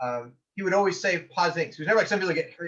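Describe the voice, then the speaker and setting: Loud and animated, a man with an American accent speaks very fast at a high pitch. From US Pacific Northwest. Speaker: medieval combat game player, knight. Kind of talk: podcast interview.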